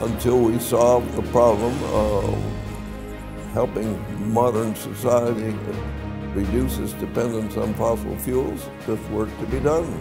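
A man at a fairly slow pace, with long, frequent pauses and clear music in the background. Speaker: inventor and scientist. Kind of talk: interview answer. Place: office.

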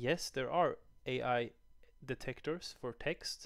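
A man at a very slow pace, dry sound with no echo, over a quiet background. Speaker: educator. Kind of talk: tutorial. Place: home room. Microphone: headset.

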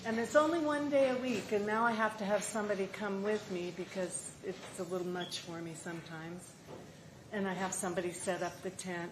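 Over noticeable background noise and audible room echo, a woman talks at a fairly quick pace. Her intonation is lively. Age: 80s+. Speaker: market vendor giving public testimony. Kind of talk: public testimony. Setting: council meeting chamber.

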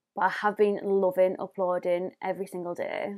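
A woman speaks with a North East England accent against a quiet background. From northeast England. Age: 20s. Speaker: beauty YouTuber. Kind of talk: tutorial. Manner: animated; chatty. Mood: friendly, apologetic at times. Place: home room.

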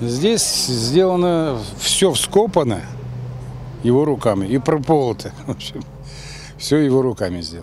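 The man talks at a fairly slow pace with long, frequent pauses and very wide pitch swings. The sound is dry with no echo, with light background noise. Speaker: son of the veteran. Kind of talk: interview answer. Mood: warm, proud of his father. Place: garden. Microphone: handheld.

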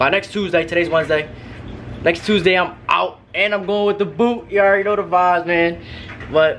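A man's very fast speech over light background noise. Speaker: vlogger. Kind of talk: casual vlog chat. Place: home room. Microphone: phone near.

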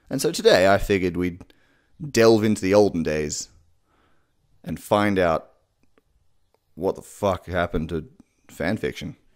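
A man with a low pitch and lively intonation speaks at a fairly slow pace, with long, frequent pauses.

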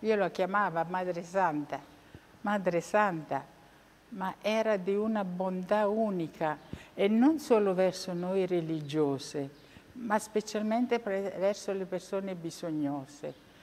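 Her pitch rises and falls in an ordinary way. This woman talks at a very slow pace. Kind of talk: interview testimony; interview answer. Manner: halting, repetitive. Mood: warm, reverent remembrance. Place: church. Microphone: lapel.

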